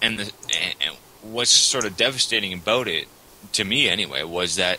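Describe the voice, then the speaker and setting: Here a man talks at a moderate pace with a Canadian accent. His pitch is very deep and low. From Canada. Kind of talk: casual debate chat on religion.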